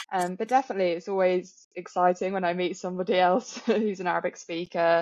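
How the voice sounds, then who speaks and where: A woman with a strong British accent talks at a very fast pace, her medium-pitched voice keeping a fairly even intonation. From England. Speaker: yoga teacher. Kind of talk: casual chat.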